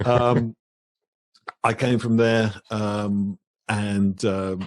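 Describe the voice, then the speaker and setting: A man's fairly even intonation comes across over a quiet background. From England, Birmingham. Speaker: author. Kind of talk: interview. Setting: live stream.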